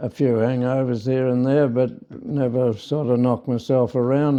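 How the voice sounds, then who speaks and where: In an Australian accent, a man speaks at a moderate pace with a dark, mellow tone and fairly even intonation. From South Australia. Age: 90s. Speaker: farmer. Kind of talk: interview. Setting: in person. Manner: halting.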